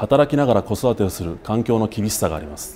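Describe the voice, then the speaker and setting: A man talks at a fairly quick pace with lively intonation over light background noise. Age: 30s. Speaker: political candidate; candidate. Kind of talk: campaign speech. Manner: formal. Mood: earnest, formal. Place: studio.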